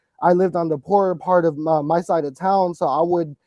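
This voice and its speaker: The speaker is a man with a high pitch and a dark, mellow tone. The sound is dry and close, with no echo. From Texas. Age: 20s. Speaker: anarchist punk rocker. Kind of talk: reading notes aloud; casual interview. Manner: hesitant, many fillers.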